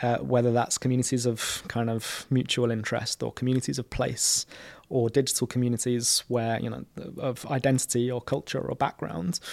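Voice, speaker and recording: A man with a London accent, medium in pitch, fairly quick and fairly even in intonation, in a dry, close sound with no echo. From London (Camden Town). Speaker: community organiser. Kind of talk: interview conversation.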